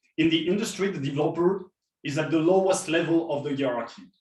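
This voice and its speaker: A man's fairly high, lively voice with a French accent, moderate pace and audible room echo. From France. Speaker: software developer advocate, keynote speaker. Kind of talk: conference keynote talk.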